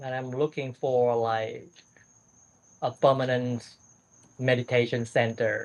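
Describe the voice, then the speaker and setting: A man with a Vietnamese accent, fairly slow and monotone, with flat intonation and long, frequent pauses. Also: medium pitch for a man. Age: 60s. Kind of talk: casual conversation with a monk. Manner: halting, repeats words.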